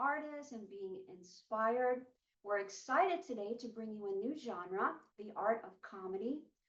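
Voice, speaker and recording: A woman speaks in a plain, everyday voice at a fairly high pitch and a moderate pace. Her intonation is lively, with big swings in loudness. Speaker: talk show host. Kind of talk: interview host intro.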